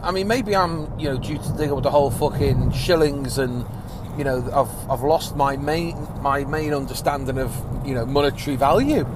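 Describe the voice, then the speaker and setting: Amid noticeable background noise and audible room echo, a man speaks in a fairly high pitch with ordinary pitch variation. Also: moderate pace. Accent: English. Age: 30s. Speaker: podcast host. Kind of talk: casual monologue. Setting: in a car. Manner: animated.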